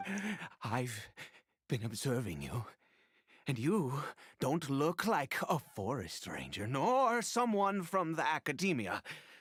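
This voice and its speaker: Putting on a shaky character voice, a man speaks at a fairly slow pace with a fairly high pitch and very wide pitch swings. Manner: wary, suspicious.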